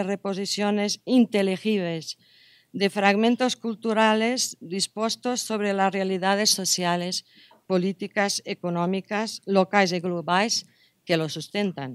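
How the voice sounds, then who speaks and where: The speaker keeps a fairly even intonation over a quiet background. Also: woman. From Portugal. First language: Portuguese (speaking Spanish). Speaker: anthropology professor; university lecturer. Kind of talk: lecture. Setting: conference room with audience. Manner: halting. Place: hall. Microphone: podium.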